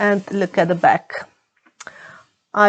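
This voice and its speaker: In a Croatian accent, a woman speaks at a fairly slow pace. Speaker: knitting vlogger. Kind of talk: casual vlog talk. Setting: home, under the roof. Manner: halting, many fillers.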